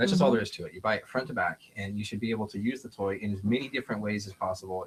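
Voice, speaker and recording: Words tumble out at a very fast pace. The voice has a somewhat breathy quality. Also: man. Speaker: leather goods maker and auctioneer. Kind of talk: casual product demonstration in a talk show.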